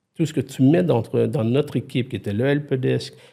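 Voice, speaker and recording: The man's dark, mellow tone carries vocal fry, moving at a moderate pace with ordinary pitch variation. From Quebec. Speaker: IT consultant and former CTO. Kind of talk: podcast interview. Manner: animated, many hesitations and restarts.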